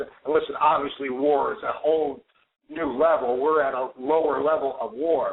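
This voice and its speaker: Here a man talks with an American accent at a moderate pace. His pitch is fairly high. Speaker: foreclosure activist. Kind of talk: talk radio chat. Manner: emphatic.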